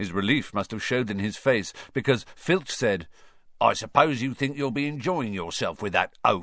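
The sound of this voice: Here we have an unforced reading voice.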